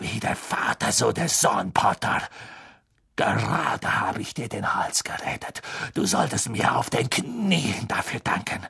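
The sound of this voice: A man puts on a character voice, medium in pitch, bright and sharp with a husky, rough edge and vocal fry. He speaks fairly slowly with big pitch swings.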